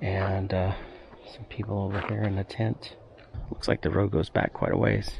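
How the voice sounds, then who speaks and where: A man speaks at a moderate pace with a fairly low pitch. His voice has vocal fry. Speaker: travel vlogger. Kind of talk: casual vlog narration. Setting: outdoors. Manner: quiet.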